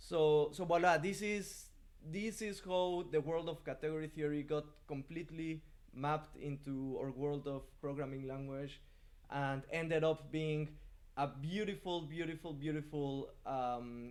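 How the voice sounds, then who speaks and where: A man talks at a fairly slow pace. His voice carries audible room echo. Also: fairly high pitch for a man, ordinary pitch variation. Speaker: programming teacher. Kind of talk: lecture. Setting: live stream. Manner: halting.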